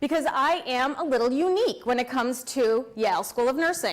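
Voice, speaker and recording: A loud woman's voice, high in pitch. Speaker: pharmacist and nursing school lecturer. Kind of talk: award talk to an audience.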